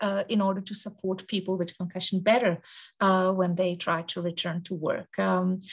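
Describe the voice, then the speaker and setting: This woman's voice is somewhat breathy. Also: quiet background. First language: Danish. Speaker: researcher. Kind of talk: conference presentation. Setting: conference symposium. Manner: halting, many filler words.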